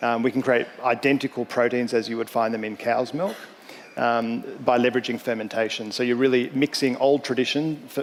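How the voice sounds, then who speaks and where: Speaking at a fairly quick pace, a man has an Australian accent. His intonation is monotone and flat. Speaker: startup founder and CEO. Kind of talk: panel discussion.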